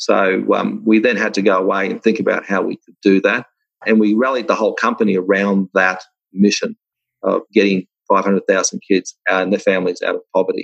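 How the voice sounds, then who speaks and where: A man with an Australian accent at a moderate pace, big swings in loudness, dry, close sound with no echo, and a quiet background. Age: 60s. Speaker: software company founder. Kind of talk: interview.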